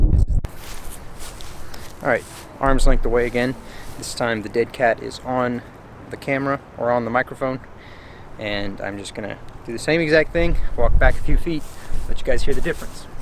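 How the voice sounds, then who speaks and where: Against noticeable background noise, a man talks at a moderate pace and medium pitch with ordinary pitch variation, big swings in loudness and long, frequent pauses. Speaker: camera gear reviewer. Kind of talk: tutorial.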